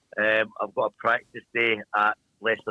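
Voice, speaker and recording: A man with a strong Glaswegian accent speaks at a fairly low pitch. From Scotland, Glasgow. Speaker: speedway team manager. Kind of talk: interview.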